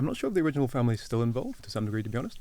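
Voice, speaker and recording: A man's voice with ordinary pitch variation. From Wales. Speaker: agricultural market analyst. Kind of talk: podcast interview.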